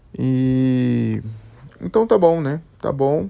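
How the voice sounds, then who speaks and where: A man speaks in a relaxed tone. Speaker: solo podcaster. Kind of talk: casual solo monologue. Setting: at home, bedroom. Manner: slow; relaxed, hesitant.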